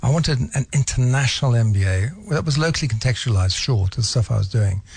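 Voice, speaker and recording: A man at a very fast pace, with lively intonation and very even loudness. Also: medium pitch for a man. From England. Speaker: business school head. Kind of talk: radio interview.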